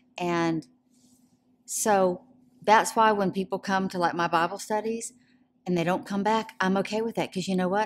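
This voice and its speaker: Over a very clean recording with a silent background, a woman with a Southern US accent speaks at a moderate pace and medium pitch, with fairly even intonation and long, frequent pauses. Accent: Southern American. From Georgia, US South (Atlanta). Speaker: women's ministry director. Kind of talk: testimony interview. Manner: loud.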